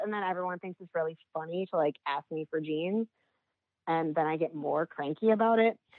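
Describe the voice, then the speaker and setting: With an ordinary speaking voice, a woman speaks at a fairly quick pace with lively intonation. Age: 40s. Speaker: sex worker. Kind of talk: casual interview.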